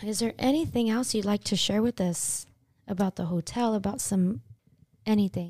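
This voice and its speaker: On a very clean recording with a silent background and a dry, close sound with no echo, a woman talks at a moderate pace in a medium-pitched, somewhat breathy voice with a dark, mellow tone and ordinary pitch variation. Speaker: podcast co-host. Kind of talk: casual podcast chat.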